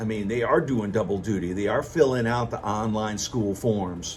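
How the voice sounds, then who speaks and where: Somewhat breathy, this man's voice moves along at a moderate pace. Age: 60s. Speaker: vlogger. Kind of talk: casual monologue.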